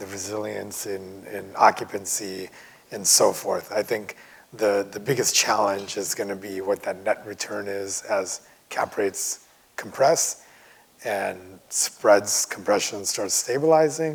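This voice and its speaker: There are big swings in loudness as a man talks over noticeable background noise. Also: fairly low pitch for a man, ordinary pitch variation, fairly slow pace. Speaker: medical real estate investor panelist. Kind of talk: panel discussion.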